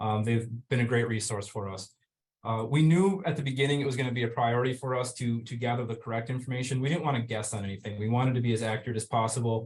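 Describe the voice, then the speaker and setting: Speaking at a very fast pace with a Minnesotan accent, a man sounds somewhat breathy, his intonation fairly even. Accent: Minnesota. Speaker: fire department EMS officer. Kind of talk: webinar presentation. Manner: hesitant, many fillers.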